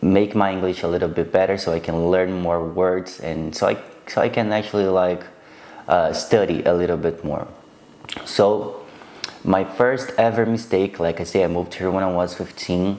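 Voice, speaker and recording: With fairly even intonation and a very deep, low pitch, a man talks at a moderate speed while noticeable background noise plays behind him. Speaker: vlogger. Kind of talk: casual storytelling to camera. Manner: halting, with repetitions and fillers.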